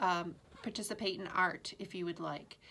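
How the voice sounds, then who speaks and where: A woman with a bright, sharp tone speaks at a fairly slow pace with fairly even intonation. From Maine. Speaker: school administrator giving morning announcements. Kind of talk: school morning announcements. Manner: hesitant, many fillers.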